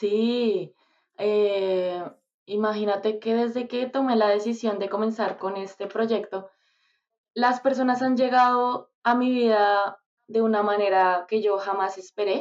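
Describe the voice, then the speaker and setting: Speaking at a very slow pace in a Bogotá Colombian accent, a woman keeps a fairly high pitch and fairly even intonation. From Colombia, Bogotá. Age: 20s. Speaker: singer. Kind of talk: casual interview.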